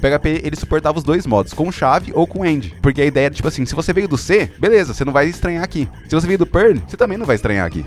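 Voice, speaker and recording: Very fast speech from a man at a fairly high pitch, with very wide pitch swings and music in the background. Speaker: software developer. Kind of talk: casual chat.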